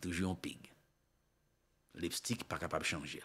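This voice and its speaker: The man's delivery moves at a fairly slow pace. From Haiti. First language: Haitian Creole (speaking French). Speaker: political commentator / online show host; news commentator. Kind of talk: political commentary monologue. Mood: critical, impassioned. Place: studio. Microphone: studio mic.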